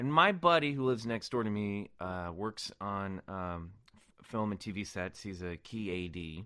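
Over a quiet background, a man with an American accent speaks at a moderate pace and fairly low pitch, his tone bright and sharp, intonation lively, loudness swinging widely. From Kansas City, US Midwest. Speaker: actor and podcast co-host. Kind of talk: casual chat.

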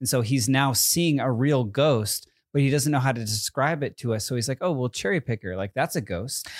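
A man with an American accent talks at a fairly quick pace, barely pausing, at a medium pitch with ordinary pitch variation. The recording is very clean and dry, close-sounding with no echo, over a silent background. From US East Coast, Connecticut. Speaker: podcast host. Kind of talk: casual chat. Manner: long pauses mid-sentence.

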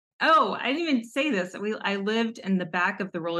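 Bright and sharp in tone, a woman speaks with an American accent and ordinary pitch variation. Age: 30s. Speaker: guest seeking money coaching. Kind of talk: casual chat.

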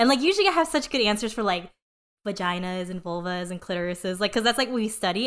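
In a very clean recording with a silent background, a woman speaks very fast at medium pitch, animated and with lively intonation. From Korean family background. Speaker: engineer and sex-tech founder. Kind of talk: casual chat.

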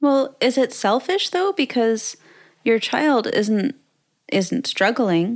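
At a very slow pace, a woman speaks with a high pitch and very wide pitch swings. Her loudness stays very even. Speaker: podcast host and content creator. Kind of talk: casual interview chat.

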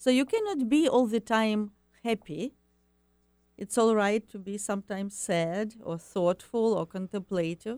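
A woman with an Eastern European accent, fairly high pitch, ordinary pitch variation and a fairly slow pace, in a dry, close sound with no echo. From Ukraine. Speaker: happiness coach and ESL teacher. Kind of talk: radio interview. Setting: studio. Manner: halting.

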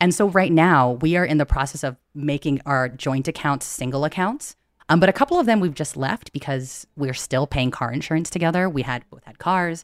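Delivered at a moderate pace with hardly any pauses, this American-accented voice has ordinary pitch variation and a dry, close sound with no echo on a very clean recording with a silent background. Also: woman. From US, Filipino American family. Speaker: financial podcast host. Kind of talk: casual chat. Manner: animated.

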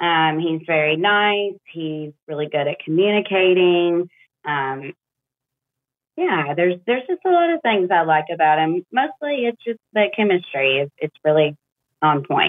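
At a fairly slow pace, a woman speaks in an unremarkable speaking voice. Her pitch is fairly low, and her intonation is lively. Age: 30s. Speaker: caller seeking dating advice. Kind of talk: casual chat. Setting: phone call.

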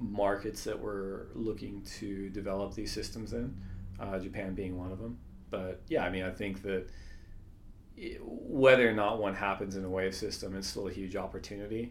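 A man's fairly low pitch and fairly even intonation, with audible room echo. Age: 30s. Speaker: surf league executive. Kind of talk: casual interview.

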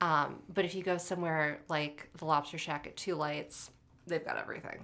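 A very deep, low woman's voice with vocal fry and monotone, flat intonation, at a moderate pace. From western Massachusetts. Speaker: food writer and dining editor. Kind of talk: interview. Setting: studio.

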